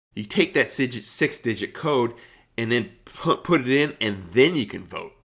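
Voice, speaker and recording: This man has an ordinary speaking voice, speaking at a fairly slow pace in a medium pitch with lively intonation on a very clean recording with a silent background. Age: 60s. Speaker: podcast co-host. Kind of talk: casual chat.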